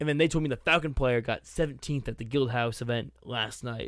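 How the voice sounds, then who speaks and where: A man with an unremarkable speaking voice and an American accent talks at a fairly quick pace and fairly high pitch, with ordinary pitch variation, on a very clean recording with a silent background. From US Northeast, Boston. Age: 20s. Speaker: gaming podcast co-host. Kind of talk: casual chat.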